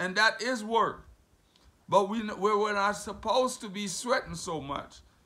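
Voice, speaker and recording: Against a quiet background, a man speaks fairly slowly in a high pitch with a raised, projected voice and a bright, sharp, animated tone. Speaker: preacher. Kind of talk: sermon; scripture reading and Bible teaching. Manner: animated, fervent preaching, with exclamations like 'have mercy'; conversational, with pauses, repeats and rhetorical questions. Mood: warm, earnest teaching. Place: home room. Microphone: phone near.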